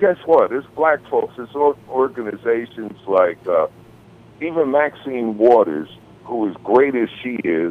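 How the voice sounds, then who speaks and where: Lively intonation from a man at a medium pitch and fairly slow pace, with noticeable background noise. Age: 60s. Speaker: music industry veteran and author. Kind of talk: podcast interview.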